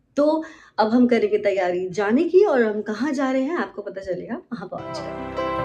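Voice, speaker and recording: Over music in the background, a woman with a fairly high pitch speaks with lively intonation and big swings in loudness. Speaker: voice actor. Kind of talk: vlog intro to camera. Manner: upbeat.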